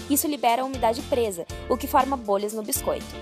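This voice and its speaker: A woman talks at a fairly quick pace with a fairly high pitch. Music plays in the background. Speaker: nutrition student. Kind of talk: documentary voice-over narration. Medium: dub.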